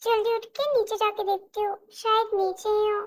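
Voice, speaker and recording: A woman's put-on character voice, extremely high in pitch, delivered at a fairly slow pace. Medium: audio drama.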